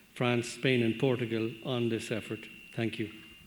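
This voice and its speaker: A man talks with an Irish accent. He keeps a moderate pace and a medium pitch. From Ireland. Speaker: veterinary medicines regulator. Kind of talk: panel discussion comment.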